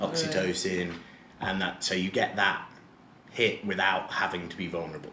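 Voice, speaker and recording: Against noticeable background noise, the speaker moves at a moderate pace with ordinary pitch variation and long, frequent pauses. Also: man, very deep, low pitch for a man. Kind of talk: interview answer. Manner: casual, conversational.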